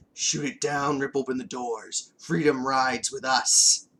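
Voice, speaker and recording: A raspy, put-on character voice at a moderate pace. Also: man, medium pitch for a man. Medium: read story. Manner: commanding, grandiose.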